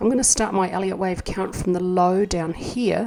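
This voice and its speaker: With ordinary pitch variation, a woman talks in a New Zealand accent. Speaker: market analyst. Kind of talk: tutorial. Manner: thinking aloud, hesitant.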